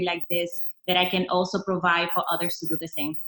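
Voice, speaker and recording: A woman's bright, sharp tone in a flat monotone. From Dominican. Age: 30s. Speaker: nutrition distributor. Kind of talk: testimonial. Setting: video call.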